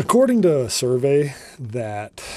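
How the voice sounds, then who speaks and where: With an American accent, a man speaks in a dark, mellow tone. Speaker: comedy podcast host. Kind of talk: solo podcast monologue. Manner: rambling.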